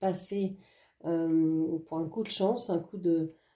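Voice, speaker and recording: Dark, mellow tone from a woman, intonation fairly even. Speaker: oracle card reader. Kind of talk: oracle card reading. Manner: hesitant, many fillers.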